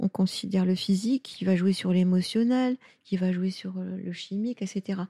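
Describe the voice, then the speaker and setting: A somewhat breathy woman with a dark, mellow tone talks at a medium pitch with ordinary variation, the sound dry and close with no echo on a very clean recording with a silent background. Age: 70s. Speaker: pediatric osteopath. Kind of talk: interview. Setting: osteopathy practice in Lyon.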